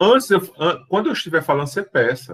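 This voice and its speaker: At a fairly quick pace, a man speaks. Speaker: teacher. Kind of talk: lecture.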